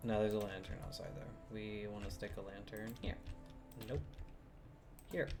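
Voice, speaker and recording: Music plays in the background as the speaker keeps a moderate pace broken by long, frequent pauses. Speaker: gaming streamer. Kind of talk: casual live stream commentary.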